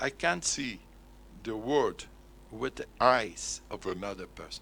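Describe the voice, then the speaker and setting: On a very clean recording with a silent background, a man with a Portuguese accent speaks fairly slowly at a fairly low pitch, with vocal fry and ordinary pitch variation. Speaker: conference speaker. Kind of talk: lecture.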